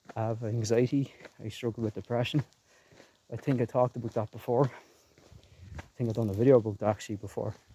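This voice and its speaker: In a Leinster accent, a man talks at a very fast pace with a medium pitch. His intonation stays monotone and flat. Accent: Irish (Leinster). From Ireland, Co. Kildare. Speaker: gaming and music YouTuber. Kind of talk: casual vlog while walking. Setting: outdoors in a graveyard.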